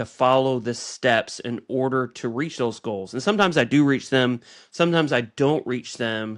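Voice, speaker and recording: A plain, everyday voice from a man, medium in pitch and fairly slow, against a quiet background. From United States. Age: 40s. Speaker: podcast co-host. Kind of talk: casual chat.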